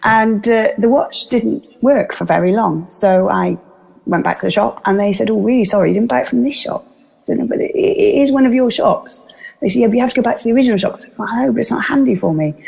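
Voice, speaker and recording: Talking at a very fast pace, a woman with a Welsh accent is heard over noticeable background noise. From Wales. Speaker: business speaker. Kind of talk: interview. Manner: animated.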